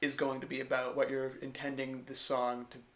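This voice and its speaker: Moderately paced speech from a man, medium in pitch and flat, monotone in intonation. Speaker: songwriter and music tutor. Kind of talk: tutorial. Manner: casual, with frequent fillers.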